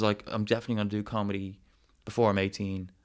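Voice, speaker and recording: With a Dublin accent, a man talks at a fairly quick pace on a very clean recording with a silent background. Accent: Dublin Irish. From Ireland, Dublin suburbs. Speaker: travel documentary maker and comedian. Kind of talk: casual chat. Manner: halting, many fillers and repeats.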